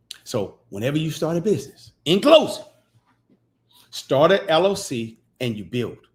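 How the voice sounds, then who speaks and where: An animated man with a fairly high pitch and vocal fry talks at a moderate pace, with very wide pitch swings, big swings in loudness, and long, frequent pauses. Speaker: podcast host teaching business credit. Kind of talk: livestream teaching talk.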